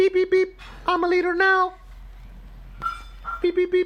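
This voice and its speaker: A man's put-on character voice, squeaky and extremely high-pitched, with monotone, flat intonation, a moderate pace and light background noise. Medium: read story. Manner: friendly, earnest.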